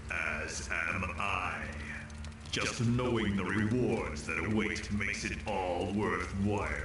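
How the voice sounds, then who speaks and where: A man performs in a put-on character voice. The sound has slight echo and loud background noise. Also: fairly low pitch for a man, fairly slow pace. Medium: machinima.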